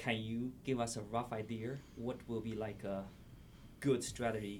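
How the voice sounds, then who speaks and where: Speaking with a Chinese accent, a man keeps a medium pitch and fairly even intonation. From China. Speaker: podcast host. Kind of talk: interview.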